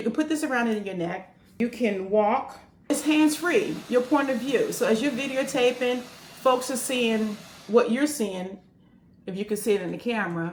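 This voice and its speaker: Animated, fairly high female voice with lively intonation at a moderate pace amid noticeable background noise. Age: 60s. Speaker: retirement travel vlogger. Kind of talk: casual vlog, camera review.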